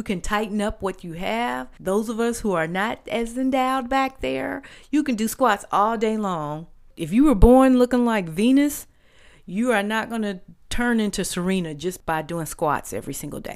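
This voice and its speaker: Over a silent background in a very clean recording, a woman with an unremarkable speaking voice talks at a moderate pace, her fairly high pitch carrying lively intonation. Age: 50s. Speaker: podcast host, wellness segment. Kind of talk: health tips talk.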